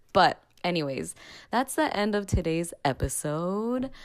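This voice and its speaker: At a fairly slow pace, a woman with a fairly low pitch talks in a plain, everyday voice. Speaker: podcast host. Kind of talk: casual chat.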